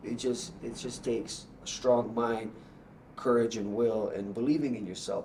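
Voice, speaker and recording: Medium-pitched male speech at a moderate pace, with ordinary pitch variation and audible room echo. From Bosnia, raised in Canada. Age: 30s. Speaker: Muay Thai fighter. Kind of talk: casual interview. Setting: gym studio. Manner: animated.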